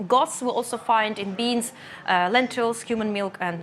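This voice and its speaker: A woman talks with a Russian accent. Her fairly high pitch shows ordinary variation. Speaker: nutritionist. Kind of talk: lecture. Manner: halting.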